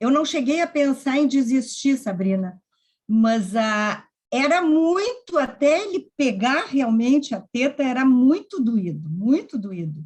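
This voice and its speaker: A woman with a high-pitched voice talks at a very slow pace, her pitch swinging very widely. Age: 70s. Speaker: workshop presenter. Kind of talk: personal testimony in online workshop.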